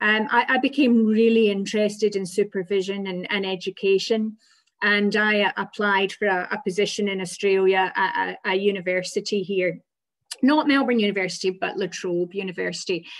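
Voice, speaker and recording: In a Scottish accent, a woman speaks at a moderate pace and a medium pitch, with fairly even intonation. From Scotland. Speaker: physiotherapy lecturer. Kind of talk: presentation. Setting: video call.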